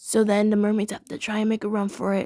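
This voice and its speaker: A dark, mellow tone at a fairly quick pace, monotone and flat, dry and close with no echo, on a very clean recording with a silent background. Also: woman. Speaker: youtuber reviewing cartoon episodes. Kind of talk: casual review monologue.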